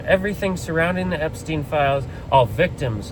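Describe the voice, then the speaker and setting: A man talks at a very fast pace, his pitch swinging very widely. Noticeable background noise runs underneath. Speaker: political commentator. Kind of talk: political rant to camera. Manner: impassioned; halting.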